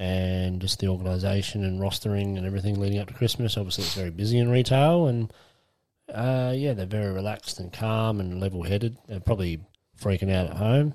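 A man with an Australian accent and a fairly low voice at a very fast pace, on a very clean recording with a silent background. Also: ordinary pitch variation. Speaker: podcast co-host. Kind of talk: casual chat. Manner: laughs often.

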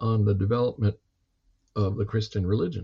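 A man's fairly low, somewhat breathy voice carries ordinary pitch variation. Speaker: history professor. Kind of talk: lecture-style conversation. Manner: explanatory, professorial.

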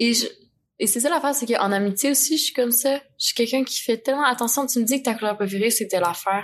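With a Quebec accent, a woman talks very fast at a high pitch, her pitch varying in an ordinary way. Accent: Québécois French. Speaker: podcast guest. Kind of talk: casual chat. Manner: laughs often.

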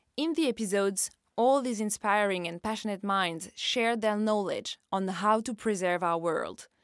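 The recording is very clean with a silent background, and the speech has a moderate pace and ordinary pitch variation. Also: woman, medium pitch for a woman. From France. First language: French. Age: 30s. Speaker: podcast host and journalist. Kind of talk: scripted narration.

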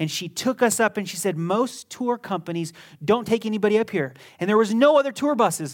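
Captured on a very clean recording with a silent background and a dry, close sound with no echo, a man speaks at a fairly quick pace with a high pitch and lively intonation. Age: 30s. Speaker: pastor. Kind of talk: sermon. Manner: emphatic.

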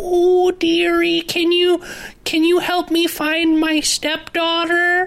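In a cartoonish character voice, someone speaks at a very slow pace over light background noise. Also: female-sounding voice, extremely high pitch for a woman. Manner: fake, sweetly quavering.

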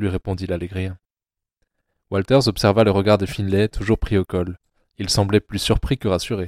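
On a very clean recording with a silent background and a dry, close sound with no echo, a man speaks in an unremarkable speaking voice at a fairly low pitch. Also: moderate pace. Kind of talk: literary audiobook reading, third-person narration. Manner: measured, expressive narration.

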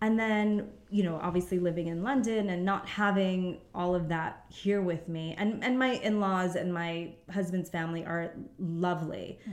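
A woman speaks in a New York accent at a moderate pace. Her pitch is medium and her intonation fairly even. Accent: New York American. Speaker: stay-at-home mother. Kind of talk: casual interview chat.

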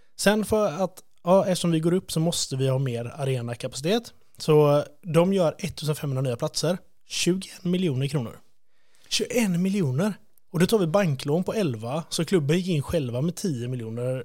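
A man talks at a moderate pace with lively intonation and a fairly high pitch, in a plain, everyday voice. The recording is very clean and the background silent. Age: 30s. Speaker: podcast host. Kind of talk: casual chat.

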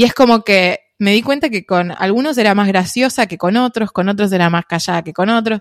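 A woman with an Argentine accent at a medium pitch and moderate pace, lively in intonation, the sound dry and close with no echo. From Argentina. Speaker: traveller and content creator. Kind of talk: casual interview.

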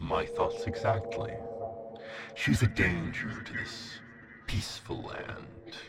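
Using a put-on character voice at a medium pitch, a man speaks at a fairly slow pace with long, frequent pauses, amid clear echo and clear background noise. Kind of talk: archaic theatrical villain speech. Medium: audio drama. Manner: silky, tempting, later grandly menacing.

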